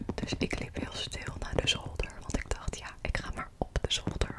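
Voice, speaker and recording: A woman whispers, taking her words at a fairly slow pace. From Netherlands. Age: 20s. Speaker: ASMR creator. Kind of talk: ASMR rambling. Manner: soft-spoken. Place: home room. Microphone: studio mic.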